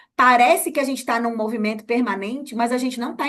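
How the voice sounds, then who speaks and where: A woman's high-pitched voice at a very fast pace, with ordinary pitch variation. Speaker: journalist and researcher. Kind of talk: casual interview chat. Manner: halting, many fillers and repeats.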